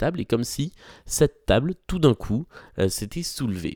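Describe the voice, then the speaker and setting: A man talks at a moderate pace with lively intonation and a dark, mellow tone, in a very clean, dry, close recording with a silent background and no echo. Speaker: podcast host, art commentator. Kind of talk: solo podcast talk about exhibitions. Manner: frequent hesitations (euh).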